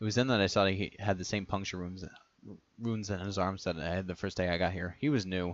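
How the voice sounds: The intonation is fairly even. It comes from a natural reading voice.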